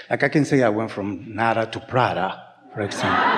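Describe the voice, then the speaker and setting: Over noticeable background noise, a man talks at a fairly quick pace and medium pitch with ordinary pitch variation. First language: not English. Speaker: workshop participant. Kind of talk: casual chat. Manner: halting.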